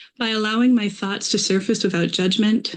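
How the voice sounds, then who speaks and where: Fairly quick and marked by vocal fry, a woman speaks in an American accent. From US Midwest, Minnesota. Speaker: artist. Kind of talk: artist talk presentation.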